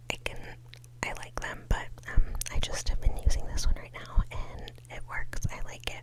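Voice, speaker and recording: A woman whispers in a relaxed tone amid noticeable background noise. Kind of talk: ASMR makeup show and tell, casual talk to camera. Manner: whispered, relaxed.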